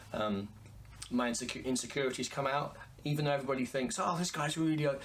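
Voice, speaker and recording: A man talks very fast in a fairly high voice, with ordinary pitch variation and very even loudness. Audible room echo is present. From England. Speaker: singer and pianist. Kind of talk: interview. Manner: halting.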